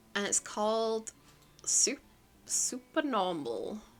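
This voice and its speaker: A woman speaks at a medium pitch with a bright, sharp tone. Her intonation is lively. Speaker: VTuber streamer. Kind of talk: casual livestream chat. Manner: slow and drawn-out.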